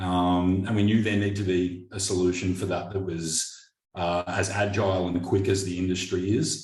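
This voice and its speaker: With an Australian accent, a man speaks at a very deep, low pitch and a moderate pace. His voice is somewhat breathy, his intonation fairly even, and the room echo is audible. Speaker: business owner. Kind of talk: interview. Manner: hesitant, repeats words.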